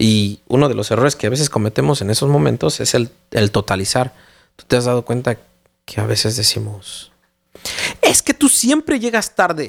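At a moderate pace, a man with medium pitch talks in an unremarkable speaking voice, and the sound is dry and close with no echo. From Mexico City. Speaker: parenting podcast co-host. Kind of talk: casual chat.

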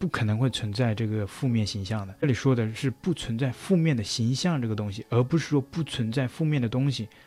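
The tone is dark and mellow, with ordinary pitch variation. Delivery moves at a fairly quick pace. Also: man. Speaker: YouTuber commentator. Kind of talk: commentary vlog.

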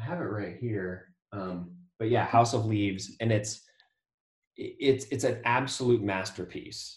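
In an American accent, a man talks at a medium pitch with ordinary pitch variation. His voice is somewhat breathy. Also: fairly slow pace. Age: 40s. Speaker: debut novelist and artist. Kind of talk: interview about writing craft.

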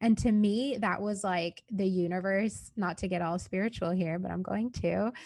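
A woman with a normal speaking voice talks at a moderate pace, medium in pitch and fairly even in intonation. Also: hardly any pauses. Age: 20s. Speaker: software consultant and work vlogger. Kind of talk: casual interview chat. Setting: podcast recording with a mic.

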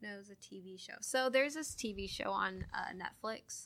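Talking at a moderate speed, a woman speaks with an American accent. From Washington state, US Pacific Northwest. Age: 20s. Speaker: Air Force administrative airman. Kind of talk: casual interview. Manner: hesitant, many fillers.

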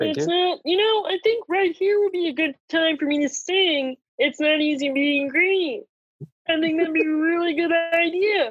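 This put-on character voice has an extremely high pitch and moves at a moderate pace. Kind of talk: comic overacting. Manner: petulant, insistent.

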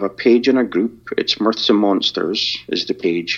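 With a Scottish accent, a man speaks at a fairly low pitch. His pace is fairly slow. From Scotland. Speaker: podcaster. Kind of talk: casual interview.

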